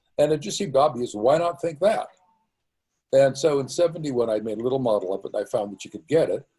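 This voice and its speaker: Speaking at a very fast pace, a man with a fairly high pitch and a dark, mellow, somewhat breathy tone makes big swings in loudness. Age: 80s+. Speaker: origin of life researcher. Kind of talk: interview answer.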